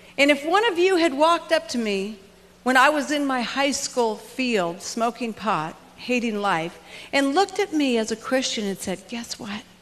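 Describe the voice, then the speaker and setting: Over noticeable background noise, a woman with an American accent talks at a moderate pace in a high pitch with very wide pitch swings. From US West Coast, Los Angeles. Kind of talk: motivational talk. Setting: stage with audience.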